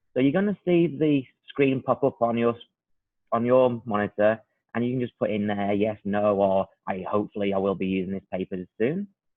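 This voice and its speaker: A man with a British accent talks with ordinary pitch variation. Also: medium pitch for a man, moderate pace. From UK. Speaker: product trainer. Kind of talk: webinar presentation. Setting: online webinar.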